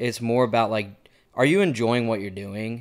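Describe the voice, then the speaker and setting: Medium-pitched man with a Texan accent, moderate pace and ordinary pitch variation, in a very clean recording with a silent background. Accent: Texan American. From Texas (Montgomery, near Houston). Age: 20s. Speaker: musician with a full-time sales job. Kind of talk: casual podcast interview.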